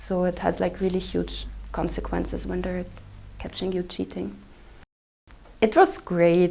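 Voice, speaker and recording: A woman is speaking. She has a German accent. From Austria. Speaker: exchange student. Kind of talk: interview answers. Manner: halting, many fillers.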